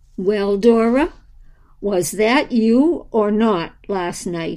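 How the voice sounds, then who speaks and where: Using a put-on character voice, a woman at medium pitch talks very slowly with lively intonation. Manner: soft and gentle.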